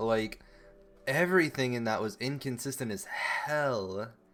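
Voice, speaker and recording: A man with a medium-pitched voice speaks with ordinary pitch variation while music plays in the background. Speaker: esports video analyst. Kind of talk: video commentary review. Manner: casual, filler-heavy.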